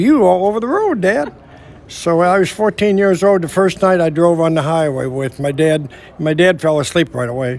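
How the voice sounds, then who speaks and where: Against noticeable background noise, a man with a Midwestern American accent talks at a fairly quick pace in a high pitch, with ordinary pitch variation. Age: 70s. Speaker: veteran truck driver and trucking company owner. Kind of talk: interview. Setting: trucking history event. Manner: halting, repeats words.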